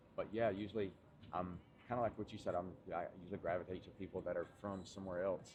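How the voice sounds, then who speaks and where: With a Southern US accent, a man talks at a fairly quick pace in a fairly low voice with fairly even intonation. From US South, Tennessee. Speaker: fitness coach. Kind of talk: casual chat.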